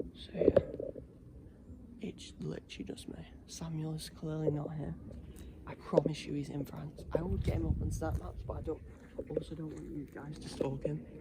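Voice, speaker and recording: A man whispering in a British accent at a moderate pace, with big swings in loudness, long, frequent pauses and noticeable background noise. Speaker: paranormal investigation vlogger. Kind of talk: solo ghost-hunt vlog.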